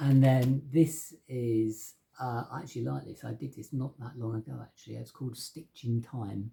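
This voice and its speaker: A man with an English accent speaks in a dark, mellow, somewhat breathy tone. He leaves hardly any pauses, and his loudness swings widely. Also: medium pitch for a man, moderate pace. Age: 50s. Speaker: painter. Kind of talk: casual talk to camera about his artworks. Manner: casual, with many fillers and hesitations.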